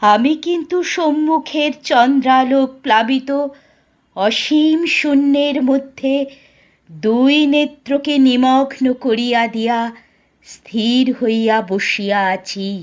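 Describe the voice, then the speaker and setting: A woman's quiet, strained, high put-on character voice, very slow, with ordinary pitch variation. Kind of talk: literary Bengali audiobook reading. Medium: read story. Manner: quiet, grave, restrained.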